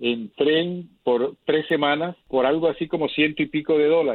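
Fairly high in pitch for a man, this is an unremarkable speaking voice with ordinary pitch variation. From Colombia, Caribbean coast (Lorica). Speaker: journalist and travel broadcaster. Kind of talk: interview.

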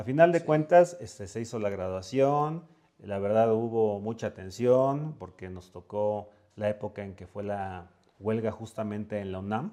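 At a fairly slow pace, the voice has a dark, mellow tone and big swings in loudness. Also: man, fairly low pitch for a man, lively intonation. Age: 40s. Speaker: entrepreneur, catering business founder. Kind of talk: interview.

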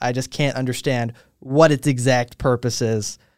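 The recording is very clean with a silent background. A man with an unremarkable speaking voice talks at medium pitch and a moderate pace. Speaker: podcast host. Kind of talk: casual chat. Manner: joking, playful.

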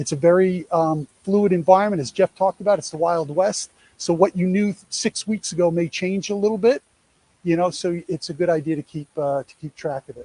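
A man with a New York accent talks at a fairly quick pace in a high, dark, mellow voice. His pitch varies in an ordinary way, and the sound is dry and close with no echo. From New York, US. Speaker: speaker on college athlete revenue program. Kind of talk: presentation to a live audience. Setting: in-person event, also streamed online.

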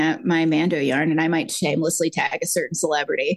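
A woman's unremarkable speaking voice, fairly low in pitch, with ordinary pitch variation. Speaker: podcast co-host, yarn dyer. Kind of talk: casual chat.

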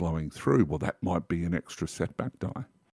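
Recorded very cleanly against a silent background, a man speaks with an Australian accent at a very deep, low pitch. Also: dry, close sound with no echo. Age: 50s. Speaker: tabletop game writer. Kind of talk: casual chat.

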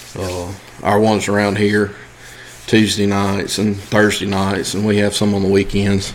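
With a Mississippi accent, a man speaks at a moderate pace and fairly low pitch in a monotone, flat way, with audible room echo and noticeable background noise. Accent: Southern US (Mississippi). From US South, Mississippi. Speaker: coon hunting club manager. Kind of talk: casual interview.

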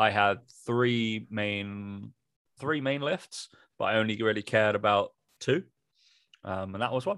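A man with an English accent, fairly low in pitch, at a fairly slow pace with long, frequent pauses and ordinary pitch variation, against a quiet background. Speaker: fitness podcast co-host and personal trainer. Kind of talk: casual chat.

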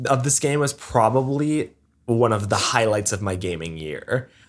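Heard on a very clean recording with a silent background, a man with an ordinary speaking voice uses lively intonation. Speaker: video game podcast co-host. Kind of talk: casual chat.

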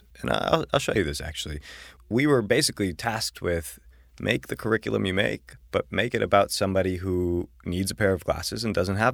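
With an American accent and vocal fry, the speaker talks at a fairly quick pace with lively intonation on a very clean recording over a silent background. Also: man, fairly low pitch for a man. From Buffalo, New York. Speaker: social entrepreneur and education nonprofit founder. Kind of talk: interview conversation.

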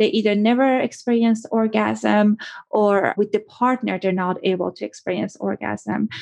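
A woman speaks at a moderate pace. The sound is dry and close, with no echo. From Iran. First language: Persian. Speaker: clinical psychologist and sex therapist. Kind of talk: interview.

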